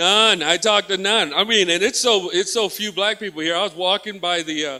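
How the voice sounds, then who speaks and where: Raised and projected, a man's voice carries an American accent and a bright, sharp tone. His intonation is lively, and his pace is moderate. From Texas. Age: 50s. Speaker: comedian. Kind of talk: stand-up. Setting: stage with audience. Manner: animated.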